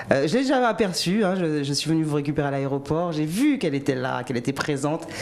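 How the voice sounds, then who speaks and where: A woman with a very deep, low pitch talks at a very fast pace with lively intonation over noticeable background noise. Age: 40s. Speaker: TV host. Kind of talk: interview.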